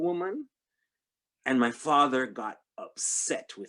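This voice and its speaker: A man with a fairly high pitch is heard in a very clean recording with a silent background. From Jamaica. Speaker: panel discussion participant. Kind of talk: panel discussion. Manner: halting.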